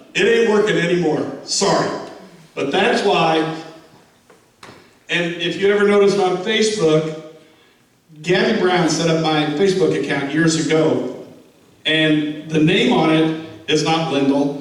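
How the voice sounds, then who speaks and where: A man with a fairly high pitch speaks at a fairly slow pace, leaving long, frequent pauses. Noticeable background noise and audible room echo surround him. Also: ordinary pitch variation. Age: 70s. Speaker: war veteran and team speaker. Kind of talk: motivational talk to a football team. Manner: halting.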